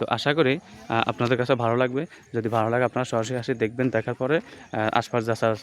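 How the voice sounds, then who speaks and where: Against noticeable background noise, a medium-pitched man speaks with fairly even intonation in a dry, close sound with no echo. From Bangladesh, Noakhali. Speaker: land sale broker and video blogger. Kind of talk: property walkthrough vlog. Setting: outdoors on site.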